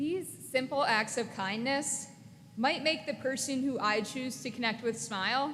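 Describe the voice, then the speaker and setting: A high-pitched woman with an American accent, fairly slow, with ordinary pitch variation and audible room echo. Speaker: graduate student, valedictorian. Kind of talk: commencement speech. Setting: graduation ceremony.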